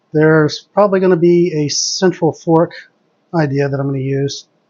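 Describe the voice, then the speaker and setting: A soft-spoken man talks at a fairly high pitch with ordinary pitch variation. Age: adult. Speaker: chess streamer. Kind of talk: live commentary.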